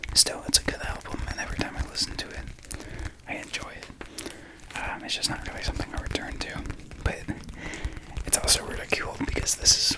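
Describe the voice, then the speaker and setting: A man whispers over noticeable background noise. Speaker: ASMR creator. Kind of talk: ASMR talk to camera about record collection. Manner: whispering, soft-spoken.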